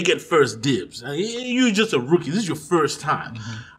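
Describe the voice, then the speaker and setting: A man speaks with very wide swings in pitch and a somewhat breathy voice. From Zimbabwe. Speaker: stand-up comedian. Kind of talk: casual interview chat.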